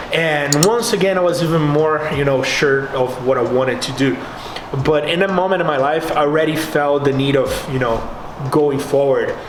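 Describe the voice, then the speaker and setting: A man with a Portuguese accent talks at a moderate pace and fairly high pitch, with ordinary pitch variation and very even loudness. Noticeable background noise and audible room echo fill the recording. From Brazil. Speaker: bodybuilder and fitness youtuber. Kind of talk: vlog monologue. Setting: home garage gym. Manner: animated.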